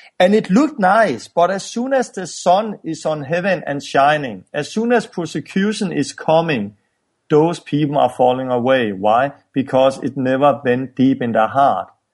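A man with a Danish accent at a moderate pace, fairly high in pitch with very wide pitch swings, against a quiet background. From Denmark. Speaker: evangelist and ministry founder. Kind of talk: interview. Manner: halting.

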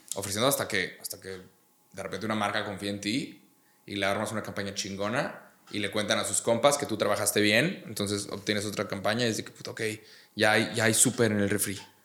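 Speaking at a fairly quick pace, the man has a fairly low pitch, a bright, sharp tone and fairly even intonation. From Mexico, Monterrey. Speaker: YouTuber and comedian. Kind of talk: casual chat.

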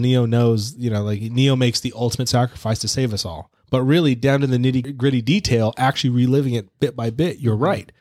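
A man's medium-pitched voice at a very fast pace, ordinary pitch variation, very clean recording with a silent background. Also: hardly any pauses. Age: 30s. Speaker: podcast co-host, movie reviewer. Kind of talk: casual chat.

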